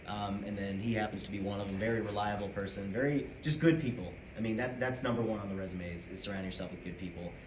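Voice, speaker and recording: A very fast man with an American accent, ordinary pitch variation and hardly any pauses, amid noticeable background noise and audible room echo. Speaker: student club president. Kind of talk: speech. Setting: room with audience, no microphones. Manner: loud. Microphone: no mic, speaking from the chest.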